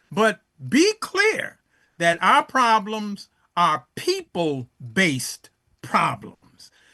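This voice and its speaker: A man speaks in a high, bright and sharp voice, raised and projected. His pace is very slow, with very wide pitch swings. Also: dry, close sound with no echo. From Chicago South Side, US. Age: 70s. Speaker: elder teacher of African history. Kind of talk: interview. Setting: podcast. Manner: halting, many fillers.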